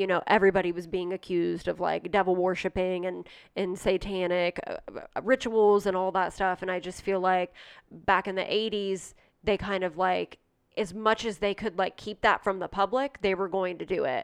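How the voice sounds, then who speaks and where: A woman with an American accent at medium pitch and moderate pace, flat monotone intonation, dry close sound with no echo, quiet background. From Ohio, US Midwest (rural, near Johnstown). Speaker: podcast co-host. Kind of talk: casual chat, true-crime storytelling.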